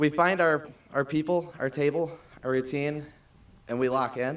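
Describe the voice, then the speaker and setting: The speaker is a man with a fairly high pitch. He keeps a moderate pace and ordinary pitch variation. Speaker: graduating student speaker. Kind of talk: commencement speech. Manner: formal.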